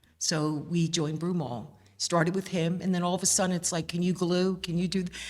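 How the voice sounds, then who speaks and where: A woman with a Philadelphia accent talks at a fairly quick pace in a fairly low pitch. Her loudness stays very even and her intonation fairly even. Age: 60s. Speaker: mother of a band captain. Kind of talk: interview. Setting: museum.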